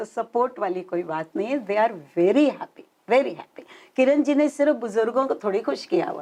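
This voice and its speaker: A woman speaks with a dark, mellow tone at a fairly high pitch. Her pitch swings very widely. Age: 70s. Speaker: senior citizens club branch head. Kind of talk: interview. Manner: animated.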